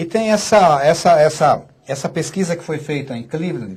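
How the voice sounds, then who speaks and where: A man with a fairly high pitch at a moderate pace. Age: 60s. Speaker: physician and author. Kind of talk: radio interview. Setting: studio.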